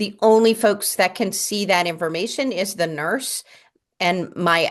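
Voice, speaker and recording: Over a quiet background, a woman speaks in an unremarkable speaking voice, fairly low in pitch with ordinary pitch variation. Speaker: community nurse program presenter. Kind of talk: presentation at a town board meeting.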